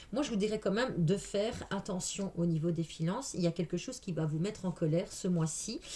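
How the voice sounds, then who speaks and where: A somewhat breathy woman's voice of medium pitch with lively intonation. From Belgium. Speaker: tarot reader. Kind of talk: tarot reading. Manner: animated.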